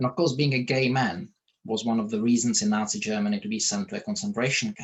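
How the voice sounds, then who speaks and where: At a fairly quick pace, a man with an Eastern European accent speaks at a medium pitch with ordinary pitch variation. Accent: Eastern European accent, noticeable. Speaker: psychotherapist, panel speaker. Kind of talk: prepared panel talk. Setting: video call.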